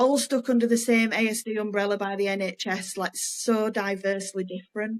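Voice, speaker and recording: Speaking with a Yorkshire accent, a woman keeps her intonation monotone and flat. Her voice is fairly high. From Yorkshire, Leeds. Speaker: podcast co-host, former nurse. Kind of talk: casual podcast chat.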